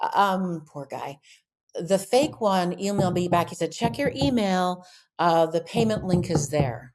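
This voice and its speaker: At a fairly slow pace, a woman talks in a plain, everyday voice. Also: fairly low pitch for a woman, lively intonation. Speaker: voice actor. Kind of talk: interview answer.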